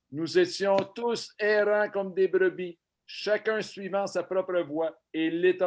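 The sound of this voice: The reading voice is unforced, with ordinary pitch variation. Little sound comes from the quiet background.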